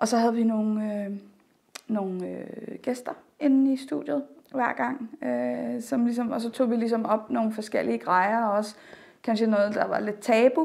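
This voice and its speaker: At a fairly slow pace, the woman talks in a fairly high pitch. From Denmark. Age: 30s. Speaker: drama student and trained sexologist. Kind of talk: interview. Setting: on camera. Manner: hesitant, many filler sounds.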